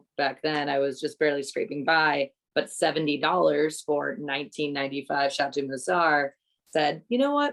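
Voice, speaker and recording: With a New England accent, a woman speaks at a moderate pace with a very deep, low pitch and a fairly even intonation. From New England, US. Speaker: wine coordinator. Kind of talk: casual podcast chat. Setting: podcast recording with wine tasting.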